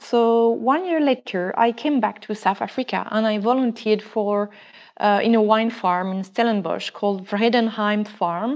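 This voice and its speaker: Over a quiet background, a woman with a French accent speaks at a moderate pace, her pitch fairly high with ordinary pitch variation. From France. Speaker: wine business founder, wine educator. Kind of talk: casual interview.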